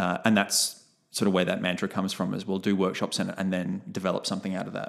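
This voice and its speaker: A man speaks at a very fast pace. He has an Australian accent. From Brisbane, Australia. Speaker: clown and theatre company co-founder. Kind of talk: casual interview.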